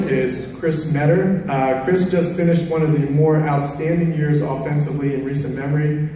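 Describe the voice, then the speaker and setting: Strong room echo and noticeable background noise surround a man speaking with fairly even intonation. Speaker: baseball coach. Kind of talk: award ceremony speech. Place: hall. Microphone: camera far.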